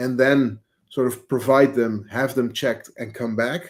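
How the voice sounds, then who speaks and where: A man speaks with a Dutch accent at a moderate pace and a medium pitch. His tone is dark and mellow, his intonation monotone and flat. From Netherlands, village near Amsterdam. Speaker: agency CEO. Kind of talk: podcast interview. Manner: halting, many fillers.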